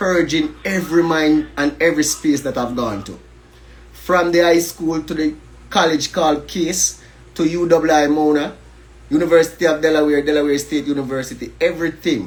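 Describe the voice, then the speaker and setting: A fairly high-pitched man at a moderate pace, with an animated tone. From Jamaica. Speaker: educator and livestreamer. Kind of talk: livestream monologue. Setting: Instagram live stream.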